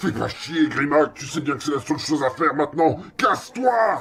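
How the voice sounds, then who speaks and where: A man's put-on character voice at a fairly high pitch and moderate pace. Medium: machinima. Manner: rough, combative.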